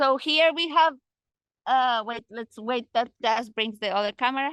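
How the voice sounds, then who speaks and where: A woman with a non-native accent speaks at a high pitch, her tone bright and sharp and her intonation lively, with a dry sound with no echo and a quiet background. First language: not English. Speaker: guide on a forest walk. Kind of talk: guided tour. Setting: outdoors. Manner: halting. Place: forest. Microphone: phone near.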